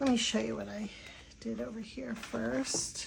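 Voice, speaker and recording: A woman with an American accent speaks at a fairly slow pace. Room echo is audible. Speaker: watercolor artist. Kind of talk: tutorial. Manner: hesitant, many fillers.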